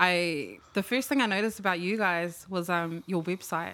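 The voice has a New Zealand accent and moves at a moderate pace. The recording is very clean, with a silent background. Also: woman. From New Zealand, Maori/Pacific heritage. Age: 20s. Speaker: vintage clothing seller. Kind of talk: casual chat.

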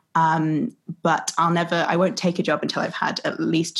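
A woman talks at a moderate pace in a fairly low pitch with fairly even intonation. She has a plain, everyday voice. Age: 20s. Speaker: theatre producer. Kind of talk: interview conversation.

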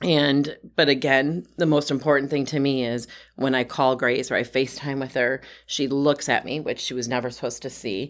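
Very clean and silent in the background, the recording has a woman with an Upper Midwest accent speaking at a moderate pace in a very deep, low voice with monotone, flat intonation. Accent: Upper Midwest American. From Wisconsin. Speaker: health advocate. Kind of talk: casual chat.

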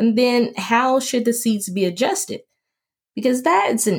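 With an American accent, a woman speaks at a fairly slow pace in a warm, animated tone, her fairly high pitch making very wide swings. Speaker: podcast host, UX researcher. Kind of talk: solo podcast monologue, spoken-word style. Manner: warm, conversational, poetic.

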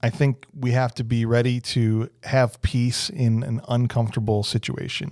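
With an American accent, a man speaks in a normal speaking voice at medium pitch. His intonation is fairly even, with hardly any pauses. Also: moderate pace, very even loudness. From northern Illinois. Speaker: podcast host, local youth missionary. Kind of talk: casual faith interview.

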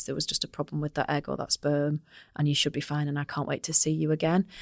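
A woman's very deep, low voice at a very fast pace, monotone and flat, in a dry, close sound with no echo. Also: very clean recording, silent background. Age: 30s. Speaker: managing director and podcast host. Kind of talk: casual chat. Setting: office podcast studio.

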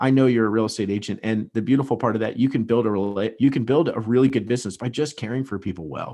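Against a quiet background, a man with a medium pitch and a dark, mellow tone talks at a very fast pace with ordinary pitch variation. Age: 30s. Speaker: real estate agent and business founder. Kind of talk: podcast interview.

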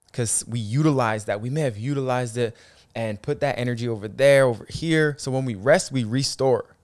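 A man with an unremarkable speaking voice, medium pitch and ordinary pitch variation, on a very clean recording with a silent background. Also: fairly quick pace. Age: 30s. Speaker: podcast host. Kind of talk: motivational monologue.

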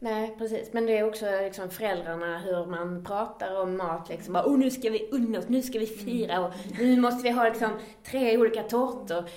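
A fairly high-pitched woman at a fairly quick pace, with ordinary pitch variation and noticeable background noise. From Skåne, Sweden. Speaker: podcast host. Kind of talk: casual podcast conversation.

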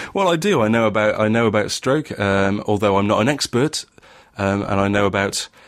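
A man with a slight northern English accent talks at a fairly low pitch. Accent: northern English, mild. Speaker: podcast host. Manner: hesitant, many fillers and restarts.

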